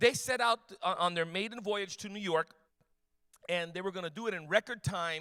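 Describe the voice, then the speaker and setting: A man's high-pitched, raised and projected voice, animated in tone, bright and sharp, with ordinary pitch variation, big swings in loudness, long and frequent pauses, and a dry, close sound with no echo. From Cuban background. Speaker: apologetics speaker. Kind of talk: talk to a church youth audience. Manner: fast.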